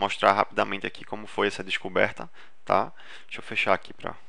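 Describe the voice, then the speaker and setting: A man at a fairly quick pace, with big swings in loudness and noticeable background noise. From Recife, northeast Brazil. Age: 30s. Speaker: dentist and marketing instructor. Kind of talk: webinar presentation. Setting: online webinar. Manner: casual, with frequent fillers and false starts.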